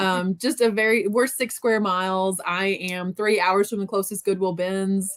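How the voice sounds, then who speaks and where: Spoken with an American accent, the voice moves at a moderate pace with fairly even intonation and hardly any pauses. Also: woman, medium pitch for a woman. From US South, southeast Missouri Bootheel. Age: 30s. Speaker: reseller. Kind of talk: casual chat.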